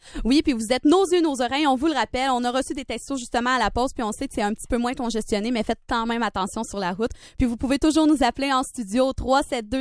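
A woman talks in a high voice at a very fast pace, with hardly any pauses and ordinary pitch variation. The sound is dry with no echo, over a quiet background. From Quebec. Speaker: student radio host. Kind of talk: simulated drive-time radio show. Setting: studio. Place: studio.

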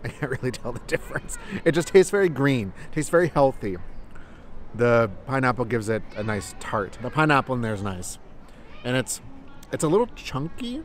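Light background noise sits under speech at a fairly quick pace. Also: man, dry sound with no echo. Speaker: travel vlogger. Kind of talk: casual vlog chat. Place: garden. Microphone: phone near.

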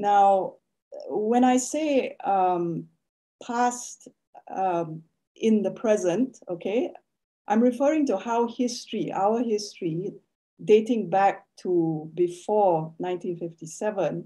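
At a very slow pace against a quiet background, a woman speaks with lively intonation in a dark, mellow tone. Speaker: academic. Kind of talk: lecture. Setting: video call. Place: home room. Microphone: video call.

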